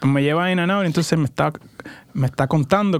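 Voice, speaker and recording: This man has an unremarkable speaking voice, pitched fairly high. He moves at a fairly quick pace with ordinary pitch variation. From Puerto Rico. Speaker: startup founder, former accountant. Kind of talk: interview. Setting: studio.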